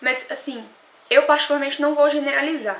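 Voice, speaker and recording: This woman speaks at a high pitch. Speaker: vlogger. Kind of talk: opinion vlog. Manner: fast.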